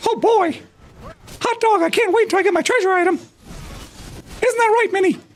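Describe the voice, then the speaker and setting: Extremely high pitch in a put-on character voice, moderate in pace. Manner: cheerful, excited.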